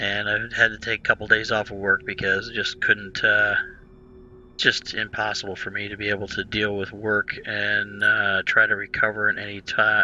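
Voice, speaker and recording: The man here talks at a moderate pace. Behind him, there is music in the background. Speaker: gaming video creator. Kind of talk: gameplay commentary. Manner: hesitant, many fillers.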